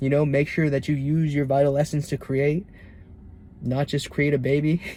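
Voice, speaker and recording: At a moderate pace, a man speaks in a fairly high pitch with a dark, mellow tone. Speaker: self-improvement vlogger. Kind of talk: casual monologue vlog.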